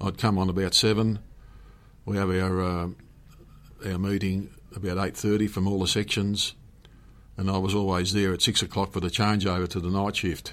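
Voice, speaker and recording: With an Australian accent, a man speaks at a moderate pace in a fairly low pitch. His intonation is monotone and flat, with long, frequent pauses. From Penrith, Western Sydney, Australia. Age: 70s. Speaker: retired police commander. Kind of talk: interview. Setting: radio studio. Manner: hesitant, many fillers.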